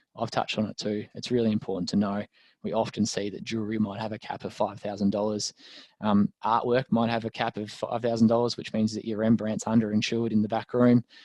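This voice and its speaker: In an Australian accent, a man with a fairly low pitch speaks very fast in a flat monotone, with a dry, close, echo-free sound and a quiet background. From Australia, rural Victoria. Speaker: lawyer. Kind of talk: webinar presentation.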